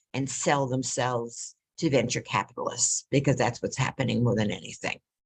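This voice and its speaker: This woman speaks with a very deep, low pitch. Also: dry, close sound with no echo. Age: 80s+. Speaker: webinar attendee asking questions. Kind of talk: casual question in a webinar Q&A. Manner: halting, with many false starts.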